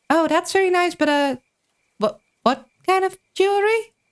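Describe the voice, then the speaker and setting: A woman in a squeaky put-on character voice, extremely high in pitch, with lively intonation, a moderate pace and very even loudness. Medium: virtual streamer.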